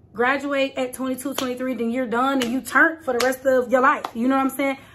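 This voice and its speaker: Over noticeable background noise, a woman with an American accent speaks high and animated at a fairly quick pace. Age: late 20s. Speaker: content creator. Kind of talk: casual talk to camera. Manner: chatty, animated.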